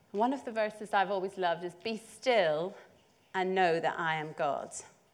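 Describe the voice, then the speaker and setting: A woman talks with a Northern Irish accent. Her pitch is medium, with ordinary variation. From Northern Ireland, north coast (Portstewart). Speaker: church preacher. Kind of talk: sermon.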